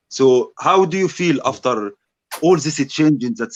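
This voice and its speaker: A man's voice with a non-native accent and lively intonation. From Egypt. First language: Arabic. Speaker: debater. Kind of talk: debate.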